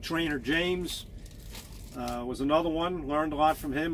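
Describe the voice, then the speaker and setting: A man with an American accent, audible room echo around the voice. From Long Island, New York. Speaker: truck driver vlogger. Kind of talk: personal story monologue. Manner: monotone.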